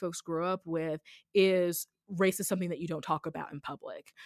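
With an American accent, a woman talks at a moderate pace in an ordinary speaking voice, fairly low in pitch, the sound dry and close with no echo. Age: 30s. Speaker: podcaster and anti-racism writer. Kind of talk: casual interview. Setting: remote recording.

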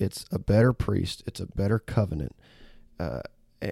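In a very clean recording with a silent background and a dry, close sound with no echo, a man with a Southern US accent speaks at a fairly low pitch in a dark, mellow tone. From US South, Auburn, Alabama. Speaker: pastor. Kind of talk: podcast Bible discussion.

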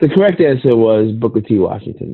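Lively intonation marks this man's medium-pitched voice, a normal speaking voice. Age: 30s. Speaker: podcast co-host. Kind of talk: casual chat. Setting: remote recording. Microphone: poor audio quality early in episode.

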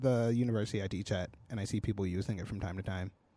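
In an American accent, a man speaks at a very fast pace. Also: very clean recording, silent background. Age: 20s. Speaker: podcast co-host, designer and developer. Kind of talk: casual chat.

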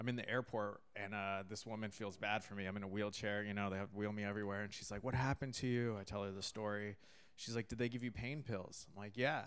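Speaking at a very fast pace, a man with an American accent keeps a fairly low pitch and fairly even intonation. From California, San Diego and Catalina Island. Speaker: stand-up comedian. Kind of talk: casual chat.

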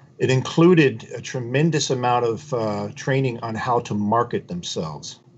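A man with an ordinary speaking voice talks at medium pitch with lively intonation. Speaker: podcast host. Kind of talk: interview, scripted intro. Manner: formal, polished.

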